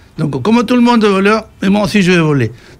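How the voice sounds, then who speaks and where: Noticeable background noise sits behind the speech. A man talks with lively intonation. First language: Spanish (speaking French). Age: 60s. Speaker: radio panel guest. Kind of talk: radio discussion. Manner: halting, many fillers and repetitions.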